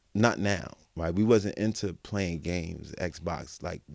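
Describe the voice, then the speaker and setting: This man has a very deep, low voice with vocal fry and ordinary pitch variation, recorded very cleanly against a silent background. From Brooklyn, New York. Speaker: exoneree. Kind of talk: interview.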